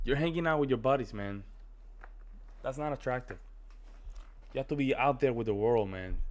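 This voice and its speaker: A man with a strong Spanish accent and medium pitch speaks in an animated tone at a fairly quick pace, with ordinary pitch variation and long, frequent pauses. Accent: thick Spanish. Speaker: reaction video creator. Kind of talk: casual reaction commentary.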